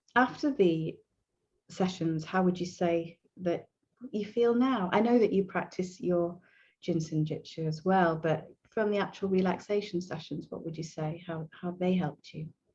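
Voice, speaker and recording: Somewhat breathy and fairly low-pitched, a woman speaks with a dark, mellow tone. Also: ordinary pitch variation, moderate pace. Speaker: hypnotherapist. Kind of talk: video interview.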